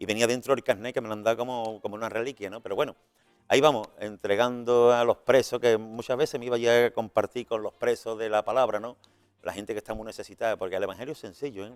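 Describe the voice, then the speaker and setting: Talking very fast over background music, a man with a medium-pitched voice sounds dry and close, with no echo. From Spain, Seville. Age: 60s. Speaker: retired evangelist and prison visitor. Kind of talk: interview testimony. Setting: radio and TV studio. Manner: animated, repetitive restarts.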